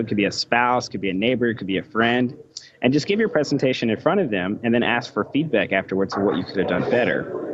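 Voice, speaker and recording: An American accent at a fairly quick pace, with ordinary pitch variation over noticeable background noise. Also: man. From United States. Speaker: electrical engineer and author. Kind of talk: podcast interview.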